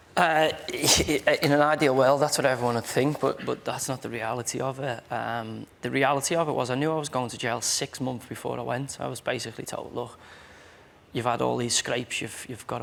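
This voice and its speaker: A man with a Merseyside accent speaks at medium pitch and a moderate pace. His intonation is fairly even, with vocal fry. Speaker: footballer. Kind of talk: TV chat show interview answer.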